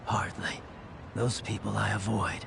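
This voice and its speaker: A man whispering in a put-on character voice at a moderate pace, over loud background noise. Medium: short film. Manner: measured, cold.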